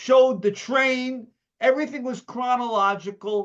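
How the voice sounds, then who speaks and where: Speaking with a New York accent at a moderate pace, this man has an extremely high pitch and ordinary pitch variation. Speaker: memorabilia collector. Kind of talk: casual chat. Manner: animated.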